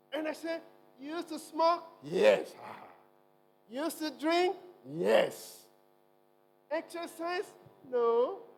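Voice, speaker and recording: Over background music, a man speaks at an extremely high pitch for a man, at a very slow pace with long, frequent pauses. His intonation is lively, and his loudness swings widely. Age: 60s. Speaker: medical doctor, guest health speaker. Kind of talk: health talk in church service. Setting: church. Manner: animated.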